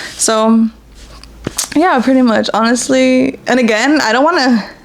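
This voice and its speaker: A woman's fairly high voice with lively intonation and very even loudness, against noticeable background noise. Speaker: podcast host. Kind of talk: casual personal talk. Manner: halting, stuttering.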